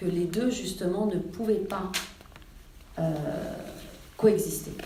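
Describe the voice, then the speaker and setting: A woman talks at a fairly slow pace. Audible room echo and noticeable background noise run through the clip. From Iran, raised in France from age six. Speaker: novelist. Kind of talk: author talk. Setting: library event with audience. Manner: hesitant, many fillers.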